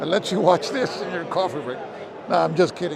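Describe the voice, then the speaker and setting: Noticeable background noise sits behind a man's high-pitched voice. He talks at a fairly quick pace with ordinary pitch variation. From Puerto Rico. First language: Spanish. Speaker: board game video host. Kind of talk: casual walk-and-talk vlog. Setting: walking around a game convention with a gimbal.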